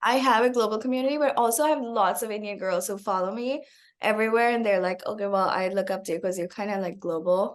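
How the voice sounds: A woman talks fast at a medium pitch with fairly even intonation.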